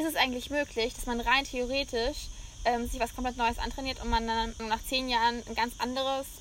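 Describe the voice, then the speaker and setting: High-pitched female speech, delivered at a fairly quick clip. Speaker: podcast host. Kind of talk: casual chat. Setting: on location in Mallorca.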